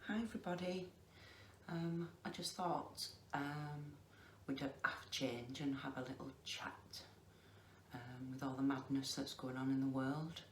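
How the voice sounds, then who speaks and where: A woman with a Lancashire accent and a very deep, low pitch, ordinary pitch variation, a fairly slow pace and long, frequent pauses, in audible room echo. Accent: Lancashire dialect, noticeable. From northern England, Lancashire. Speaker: crafter vlogger. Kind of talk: casual chat. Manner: slow and deliberate.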